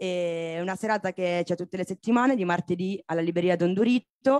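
A woman speaks with ordinary pitch variation in a dry recording with no echo and a quiet background. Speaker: bookshop host. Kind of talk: event announcement. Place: stage.

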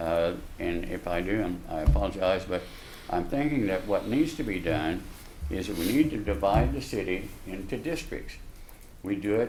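Speaking in an American accent at a moderate pace, a man takes long, frequent pauses and makes very wide pitch swings amid audible room echo. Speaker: local building contractor, public commenter. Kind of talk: public comment at city council meeting. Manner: halting, with false starts.

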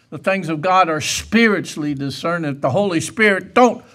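A man delivers his words fairly slowly and with lively intonation, the background quiet. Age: 70s. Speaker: preacher. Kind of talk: sermon. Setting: church. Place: church.

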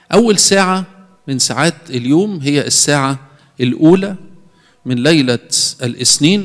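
A man's fairly high-pitched voice with lively intonation, at a fairly slow pace with long, frequent pauses, against a quiet background. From Egypt. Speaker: priest. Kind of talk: sermon. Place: church. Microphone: handheld.

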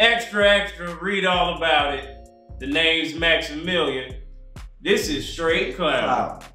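Faint music plays in the background, and audible room echo is present. A man speaks at a very slow pace. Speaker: podcast co-host. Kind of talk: casual podcast chat. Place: home room.

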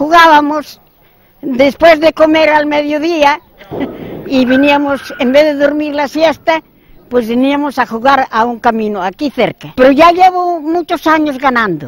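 A woman speaks at a fairly slow pace in a high voice with ordinary pitch variation. The sound is dry with no echo. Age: 80s+. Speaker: bowls player. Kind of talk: interview answer. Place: stadium. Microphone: handheld.

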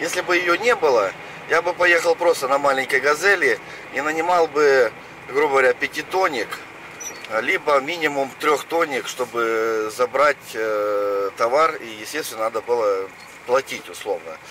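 Lively in intonation, a man speaks at a fairly slow pace with long, frequent pauses, in a dry sound with no echo and noticeable background noise. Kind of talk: casual vlog chat. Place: car. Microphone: camera far.

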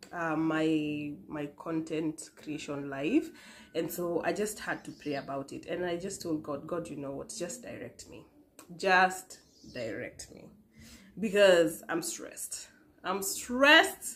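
A woman's fairly low-pitched voice at a very slow pace over light background noise. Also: lively intonation. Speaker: vlogger. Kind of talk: casual vlog chat, personal testimony. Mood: warm, playful then earnest. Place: home room.

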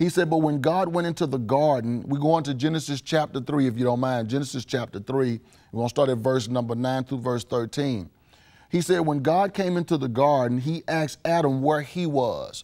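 At a fairly quick pace, a man speaks with a dark, mellow tone. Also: ordinary pitch variation, quiet background. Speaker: pastor. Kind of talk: sermon. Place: studio.

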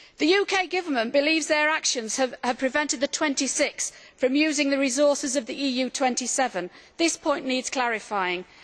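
Speaking at a moderate pace, a woman uses a high pitch with ordinary variation. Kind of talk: parliamentary speech. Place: hall. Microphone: podium.

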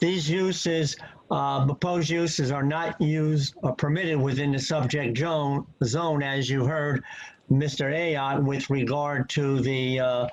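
Over noticeable background noise, a man talks fairly slowly at a fairly high pitch with fairly even intonation and very even loudness. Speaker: engineer and planner giving testimony. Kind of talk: expert testimony at public hearing. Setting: video call. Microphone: connection freezing.

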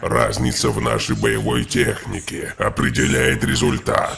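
A man does a raspy, cartoonish character voice. Faint music sits in the background. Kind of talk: anime dub villain monologue. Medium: fan dub. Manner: arrogant, intense, analytical.

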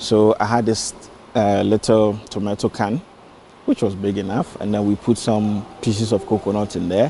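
A man with an unremarkable speaking voice talks at a moderate pace in a fairly low pitch, the sound dry with no echo and light background noise. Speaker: factory founder. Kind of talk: interview answer. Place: factory.

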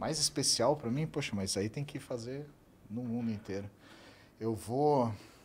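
A man speaks with a somewhat breathy voice over light background noise. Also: medium pitch for a man, ordinary pitch variation, fairly slow pace. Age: 40s. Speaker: travel content creator, host's husband. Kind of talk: casual chat. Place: studio. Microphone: studio mic.

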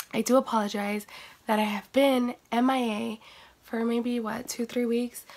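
Noticeable background noise sits behind a woman's voice. She talks fairly slowly at a fairly high pitch, with fairly even intonation. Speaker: beauty vlogger. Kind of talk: casual talk to camera.

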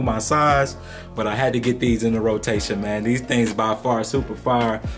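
Clear music can be heard in the background. Over it, a man talks at a moderate pace. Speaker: sneaker reviewer. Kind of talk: casual product review. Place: home room.

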